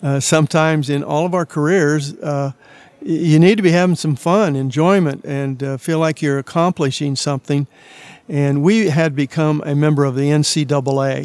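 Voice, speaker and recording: A man with a Midwestern US accent speaks at a fairly high pitch with fairly even intonation, recorded dry and close with no echo. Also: moderate pace. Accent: US Midwest. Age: 80s+. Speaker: retired basketball coach. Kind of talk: interview. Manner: hesitant with many fillers.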